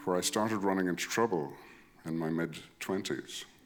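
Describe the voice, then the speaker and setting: A man talks at a moderate pace. Behind him, music can be heard. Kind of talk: live storytelling performance. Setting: live stage.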